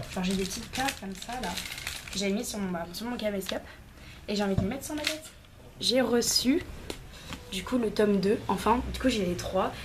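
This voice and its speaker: With audible room echo and noticeable background noise, a woman speaks very fast at a medium pitch with ordinary pitch variation. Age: 20s. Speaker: vlogger. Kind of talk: casual vlog chat. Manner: casual, filler-heavy.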